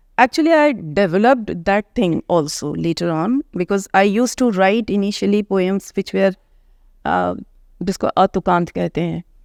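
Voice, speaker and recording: In a very clean recording with a silent background, a woman with an Indian accent speaks at a moderate pace in a medium pitch, her intonation lively and the sound dry and close with no echo. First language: Hindi. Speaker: author and English professor. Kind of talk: interview.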